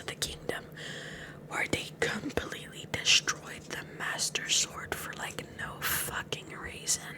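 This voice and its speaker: Whispering fairly slowly, a woman is heard through noticeable background noise. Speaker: VTuber. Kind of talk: ASMR girlfriend roleplay, improvised rant. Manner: casual, ranting, animated.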